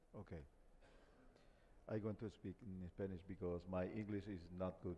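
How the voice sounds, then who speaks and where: Man with a very deep, low pitch and a dark, mellow tone, fairly slow pace and fairly even intonation. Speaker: government minister. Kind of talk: panel discussion. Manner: hesitant, many fillers.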